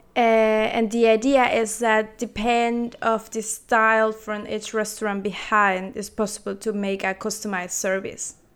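A fairly high-pitched woman with a Spanish accent, flat and monotone, at a fairly slow pace with hardly any pauses, on a very clean recording with a silent background. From Peru. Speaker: artist and designer. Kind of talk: interview.

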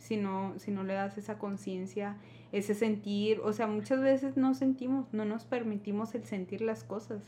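A woman's somewhat breathy voice, dark and mellow in tone, at a fairly slow pace. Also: medium pitch for a woman, ordinary pitch variation. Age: 20s. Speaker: teacher. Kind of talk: casual chat.

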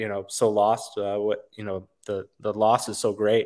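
The speaker has an American accent and a monotone, flat intonation. The recording is very clean, with a silent background. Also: man. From Wisconsin, US Midwest. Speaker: war veteran. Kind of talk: podcast interview. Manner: halting, many fillers.

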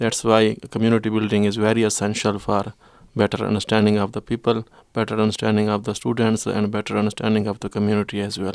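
A man talks at a very fast pace in a fairly low pitch with monotone, flat intonation. The recording is very clean, with a silent background. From Pakistan, Khyber Pakhtunkhwa. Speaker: secondary school teacher. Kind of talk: panel interview; reading prepared statement.

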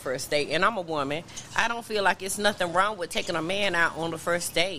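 A woman at a fairly low pitch and a fairly quick pace, with ordinary pitch variation and noticeable background noise. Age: 40s. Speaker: podcast co-host. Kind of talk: casual chat. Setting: restaurant bar.

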